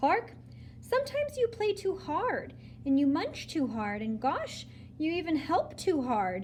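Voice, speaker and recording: A woman's put-on character voice at a fairly slow pace, with clear background noise. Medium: read story. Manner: patient, gently firm.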